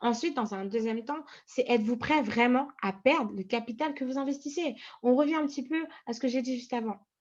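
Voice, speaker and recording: This woman talks at a fairly quick pace in a high pitch, with ordinary pitch variation and big swings in loudness. The background is quiet. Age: 20s. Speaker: trading coach. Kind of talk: tutorial. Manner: hesitant, many fillers.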